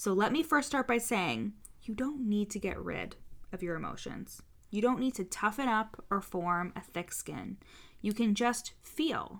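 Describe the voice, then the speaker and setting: A woman's fairly high voice with vocal fry and a Canadian accent, fairly slow pace, lively intonation, and a very clean recording over a silent background. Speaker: podcast host, business coach. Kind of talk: solo podcast monologue. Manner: casual, chatty.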